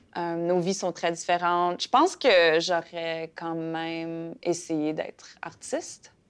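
Very slowly, a woman talks with intonation that stays fairly even. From Saskatchewan (Fransaskois). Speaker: playwright and actress. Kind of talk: interview. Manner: halting, many fillers.

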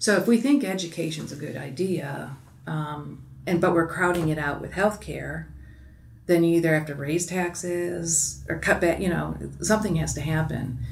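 Against noticeable background noise, a woman with a fairly low voice talks at a moderate pace, her pitch varying in an ordinary way. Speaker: physician. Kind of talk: interview.

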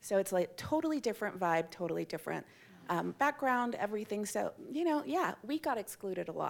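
This woman's voice sits fairly high. Its pitch ranges very widely. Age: 40s. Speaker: parent of neurodivergent child. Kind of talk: live panel discussion. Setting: stage with audience.

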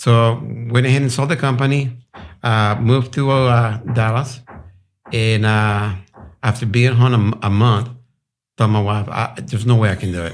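A man with a Spanish accent speaks at a medium pitch and a moderate pace, with fairly even intonation. He leaves long, frequent pauses. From Colombia. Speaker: business owner. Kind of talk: casual interview.

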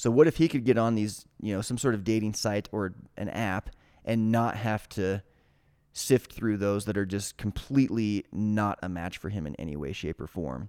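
A man with a fairly low pitch and ordinary pitch variation speaks in an ordinary speaking voice, recorded dry and close with no echo, very clean, over a silent background. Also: moderate pace. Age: 30s. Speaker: startup founder. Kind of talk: casual chat.

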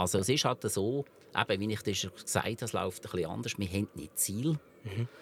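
At a fairly quick pace, a man with a fairly low pitch talks with ordinary pitch variation. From Switzerland, canton Lucerne. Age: 50s. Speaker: company founder and grill maker. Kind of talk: interview. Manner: halting.

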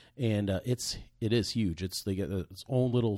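A man's dark, mellow voice with an American accent, fairly even intonation and a fairly quick pace, on a very clean recording with a silent background. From Virginia Beach, Virginia (from teens). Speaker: podcast co-host, mortgage lender. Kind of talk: casual chat.

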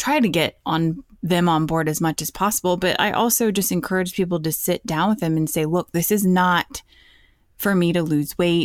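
A woman speaks at a moderate pace and fairly low pitch with ordinary pitch variation, in an ordinary speaking voice. The sound is dry and close with no echo, on a very clean recording with a silent background. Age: 40s. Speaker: plant-based cookbook author and podcaster. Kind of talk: casual chat.

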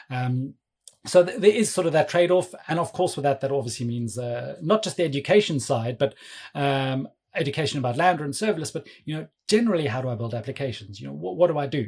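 A man speaks at a very fast pace with a fairly high pitch. His voice is somewhat breathy, and his intonation is lively. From South Africa. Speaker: cloud developer advocate. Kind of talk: casual technical interview.

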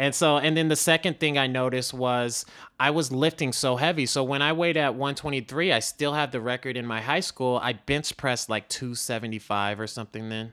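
On a very clean recording with a silent background, a man speaks fairly quickly in an unremarkable speaking voice of medium pitch with ordinary pitch variation. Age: 30s. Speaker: entrepreneur and fitness trainer, former bodybuilder. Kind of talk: interview. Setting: in person.

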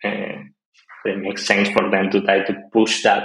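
A man with a Spanish accent speaks at a fairly slow pace and a fairly low pitch. His intonation is monotone and flat. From Argentina. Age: 20s. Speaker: web developer. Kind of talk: casual interview.

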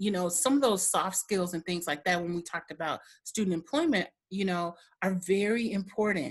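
This somewhat breathy voice has an American accent. It moves at a moderate pace over a quiet background. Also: woman. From Michigan, then Milwaukee from age nine. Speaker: college career services director. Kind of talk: interview.

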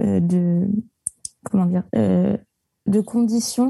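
A somewhat breathy woman with a dark, mellow tone, at a very slow pace. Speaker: arts management student. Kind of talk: casual chat.

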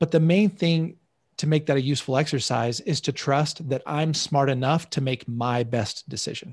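Somewhat breathy, a man talks at a fairly high pitch and a moderate pace. His pitch varies in an ordinary way. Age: 40s. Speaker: money coach and show host. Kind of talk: live online class with coaching calls. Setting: live video stream.

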